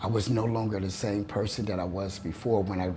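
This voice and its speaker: Speaking at a moderate pace with an American accent, a man with a fairly low pitch keeps his intonation fairly even, with noticeable background noise and audible room echo. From Ohio, Toledo. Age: 60s. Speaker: painter. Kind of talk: interview. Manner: halting.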